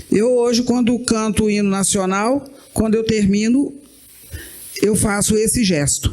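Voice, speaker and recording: A woman with a fairly high pitch and ordinary pitch variation speaks at a fairly slow pace, with long, frequent pauses. Her loudness stays very even over noticeable background noise. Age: 60s. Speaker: writer. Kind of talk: panel discussion.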